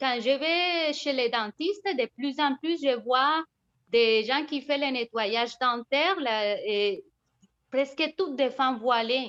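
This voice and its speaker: A woman with a non-native accent talks at a very slow pace and high pitch. The sound is dry and close, with no echo. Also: ordinary pitch variation. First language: not French (speaking French). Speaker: participant in a feminist association discussion. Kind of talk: video conference discussion. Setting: video call.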